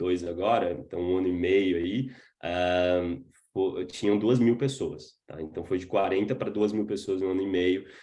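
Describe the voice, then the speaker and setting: A man's dark, mellow tone at a moderate pace. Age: 20s. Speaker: startup founder. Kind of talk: webinar talk. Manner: casual, filler-heavy.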